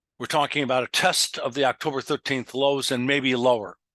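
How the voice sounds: At a fairly quick pace, a man speaks with medium pitch, a fairly bright tone and fairly even intonation in a dry, close sound with no echo.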